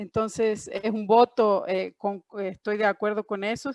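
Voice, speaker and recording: The speech comes at a fairly slow pace with a dry, close sound, no echo and a quiet background. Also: woman. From Argentina, Córdoba. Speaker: panelist, trade professional. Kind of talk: panel discussion. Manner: hesitant, many fillers.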